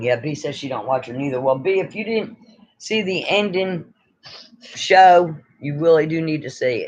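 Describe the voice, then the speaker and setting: With an American accent, the speaker talks at a moderate pace and uses lively intonation. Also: man, fairly high pitch for a man. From New York. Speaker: YouTuber. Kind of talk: casual live stream chat. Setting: live stream.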